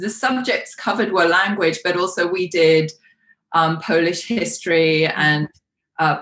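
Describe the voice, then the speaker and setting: A woman with a London accent at a fairly slow pace. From London, England. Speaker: coach. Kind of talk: interview conversation. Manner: hesitant, many fillers.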